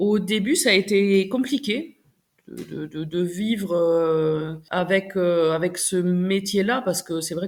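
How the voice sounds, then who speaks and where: Female speech at a medium pitch, its pitch varying in an ordinary way. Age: 40s. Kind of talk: interview answer. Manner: enthusiastic.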